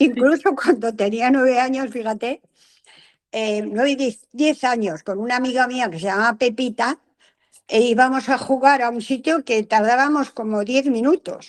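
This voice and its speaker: High-pitched female speech at a moderate pace, its pitch varying in an ordinary way. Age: 80s+. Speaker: content creator. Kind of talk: interview. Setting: video call. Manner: animated.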